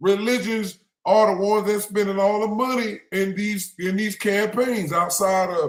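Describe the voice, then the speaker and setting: A loud man speaks at a moderate pace. His pitch is high. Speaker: religious livestream host. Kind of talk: livestream commentary.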